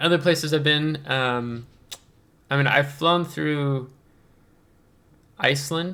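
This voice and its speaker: A man at a fairly slow pace, bright, sharp tone, with long, frequent pauses. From southern Indiana, US. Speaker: gaming YouTuber. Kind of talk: casual Q&A chat. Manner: halting, many fillers.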